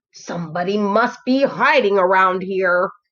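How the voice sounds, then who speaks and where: A woman puts on a growling character voice at medium pitch. She talks at a moderate pace. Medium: read story.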